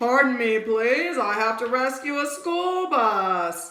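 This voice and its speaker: Using a put-on character voice, a woman speaks high and fairly slowly, her pitch swinging very widely. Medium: read story. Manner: earnest, self-important.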